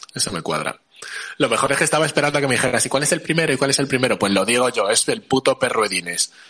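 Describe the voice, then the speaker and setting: Over noticeable background noise, a fairly high-pitched man talks very fast with lively intonation. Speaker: podcast host. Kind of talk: casual chat.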